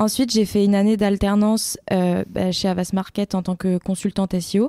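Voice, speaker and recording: The voice is dark and mellow, flat and monotone, with very even loudness at a moderate pace, recorded very cleanly against a silent background with a dry, close sound and no echo. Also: woman, medium pitch for a woman. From France, Île-de-France (Rambouillet). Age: 20s. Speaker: SEO consultant. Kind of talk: podcast interview. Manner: hesitant, many fillers.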